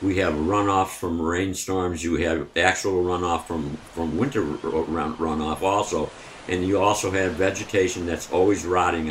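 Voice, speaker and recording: With an American accent, a man speaks at a moderate pace with hardly any pauses in a very deep, low pitch. His intonation is fairly even, and there is noticeable background noise. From Pittsfield, Massachusetts. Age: 70s. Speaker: mayoral candidate. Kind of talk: radio interview.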